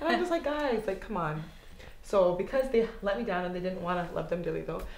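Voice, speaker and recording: Delivery is very fast, with very wide pitch swings. Audible room echo and noticeable background noise fill the recording. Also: woman, medium pitch for a woman. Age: 20s. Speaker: blogger and stylist. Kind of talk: casual interview chat. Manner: animated.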